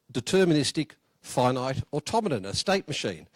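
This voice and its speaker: A man speaks at a fairly high pitch. The recording is very clean with a silent background, its sound dry and close with no echo. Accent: Australian. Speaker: software engineer. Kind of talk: conference talk. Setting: conference room with audience. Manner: hesitant, many fillers.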